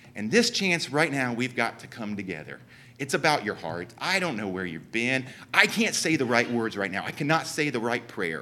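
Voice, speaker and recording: A man's bright, sharp voice at medium pitch, with vocal fry, very wide pitch swings and a southern Ohio accent. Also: moderate pace. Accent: Southern Ohio, noticeable. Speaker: church speaker. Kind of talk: church talk.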